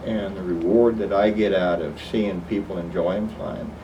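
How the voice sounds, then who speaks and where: Amid noticeable background noise and audible room echo, a man with an American accent speaks fairly slowly at a fairly low pitch in a monotone, flat way. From Oklahoma. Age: 60s. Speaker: flight instructor. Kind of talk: oral history interview.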